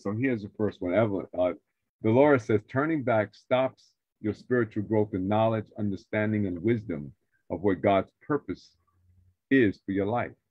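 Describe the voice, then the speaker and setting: A man with an American accent at a moderate pace, fairly low in pitch with ordinary pitch variation, in a dry sound with no echo and a quiet background. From New York, the Bronx. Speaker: radio show host and pastor; radio show host, pastor. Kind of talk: live faith talk show. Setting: video call livestream. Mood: warm, preacherly. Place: home room. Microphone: video call.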